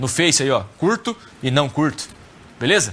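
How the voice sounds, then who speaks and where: Very wide pitch swings at a fairly slow pace. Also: man. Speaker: programming teacher. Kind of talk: lecture.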